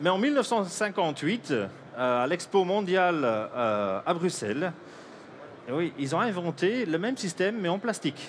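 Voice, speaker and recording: A man's high voice with very wide pitch swings, a non-native accent, and a fairly slow pace. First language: Dutch (speaking French). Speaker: coffee roaster and inventor. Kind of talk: product demonstration. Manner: halting, many hesitations.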